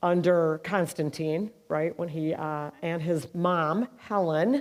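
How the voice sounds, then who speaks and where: A woman's fairly low pitch with ordinary pitch variation, on a very clean recording with a silent background. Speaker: mental health nonprofit leader. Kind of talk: speech. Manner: loud.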